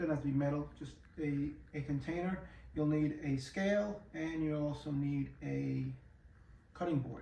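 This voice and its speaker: With a New York accent, a fairly high-pitched man talks at a moderate pace amid audible room echo. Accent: New York City. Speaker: home cooking YouTuber. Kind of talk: cooking tutorial. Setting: home kitchen. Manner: casual, hesitant with many fillers.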